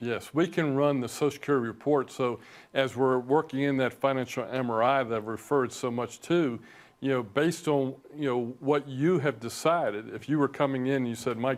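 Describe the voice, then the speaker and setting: An ordinary speaking voice from a man, medium in pitch, at a fairly quick pace, on a very clean recording with a silent background. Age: 60s. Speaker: financial advisor, firm founder. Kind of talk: TV interview.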